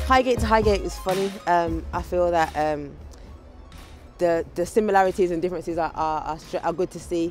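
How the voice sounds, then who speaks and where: Speaking in a Birmingham accent, a woman uses a fairly low pitch, ordinary pitch variation and a moderate pace. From Birmingham, England. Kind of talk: casual talk to camera.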